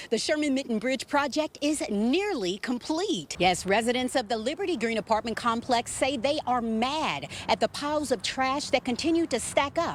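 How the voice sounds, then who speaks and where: Pitch swings very widely while the speech keeps a moderate pace. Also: woman. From Louisville, Kentucky. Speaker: TV news anchor and reporter. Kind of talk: TV news anchoring and reporting. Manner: personable, conversational.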